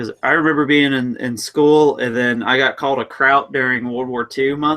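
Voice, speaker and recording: An ordinary speaking voice: a man at medium pitch, with fairly even intonation and a moderate pace. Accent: American. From US, German background. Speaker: hobby podcast co-host. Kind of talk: casual chat.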